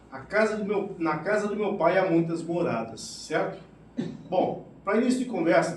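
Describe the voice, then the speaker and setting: Speech comes at a fairly slow pace amid noticeable background noise and audible room echo. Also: man. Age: 60s. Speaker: spiritist lecturer, retired military. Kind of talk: spiritist lecture.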